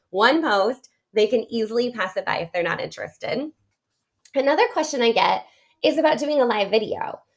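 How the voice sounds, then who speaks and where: This woman has a high voice and talks at a fairly quick pace. Her intonation is lively and her tone animated. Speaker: direct sales business coach. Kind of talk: live-streamed training. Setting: live social media video. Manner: fast.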